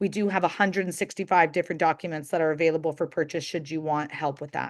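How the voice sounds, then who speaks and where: A woman talks very fast in a fairly low voice with monotone, flat intonation. The background is quiet. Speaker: assisted living business trainer. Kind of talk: webinar Q&A.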